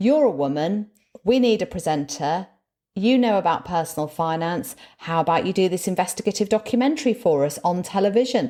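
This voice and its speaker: Very wide pitch swings and very even loudness mark this dark, mellow tone, captured in a very clean recording with a silent background. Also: woman, medium pitch for a woman, fairly quick pace. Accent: northern English. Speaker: motivational speaker and former broadcaster. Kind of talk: casual interview chat.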